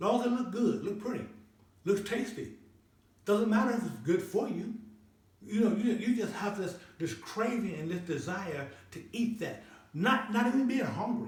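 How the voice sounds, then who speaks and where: Audible room echo surrounds a man with a high pitch who speaks at a moderate pace with ordinary pitch variation and long, frequent pauses. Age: 60s. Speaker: health and wellness channel host. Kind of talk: motivational talk. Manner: repetitive, stammering restarts; preachy, sermon-like.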